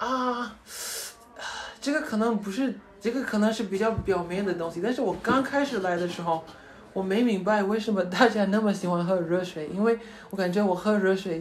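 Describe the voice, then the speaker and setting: Speaking with an English accent, a man with a high pitch keeps a moderate pace and ordinary pitch variation, with audible room echo and noticeable background noise. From United States. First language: English (speaking Chinese). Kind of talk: casual interview. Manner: hesitant, with fillers.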